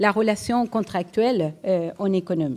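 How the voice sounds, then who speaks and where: A woman's dark, mellow tone with a slight Uruguayan accent, very slow pace and lively intonation. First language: Spanish (speaking French). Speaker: economics professor. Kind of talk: lecture. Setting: lecture hall with audience. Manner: hesitant, repeated fillers. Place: hall. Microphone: podium.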